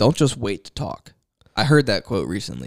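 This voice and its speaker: This man's voice has vocal fry. His intonation is lively. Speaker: podcast co-host. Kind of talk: casual chat.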